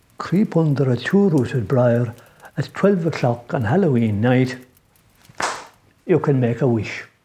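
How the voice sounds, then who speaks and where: The speaker talks at a fairly slow pace in an Irish accent. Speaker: traditional Irish storyteller. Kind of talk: folk tale storytelling. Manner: conversational, unhurried.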